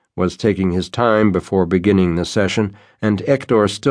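The intonation remains fairly even. The voice is an unforced reading voice.

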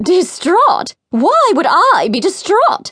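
Very slow and full of very wide pitch swings, this put-on character voice draws out every line. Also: woman, extremely high pitch for a woman. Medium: read story. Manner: prim, scolding.

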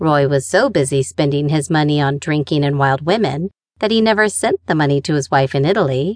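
Speaking at a fairly quick pace, a woman with a very deep, low pitch uses lively intonation, a warm tone and very even loudness. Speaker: audiobook narrator. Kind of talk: audiobook narration of a memoir, read aloud in first person. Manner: storytelling, wry and conversational, warm with a dry humor.

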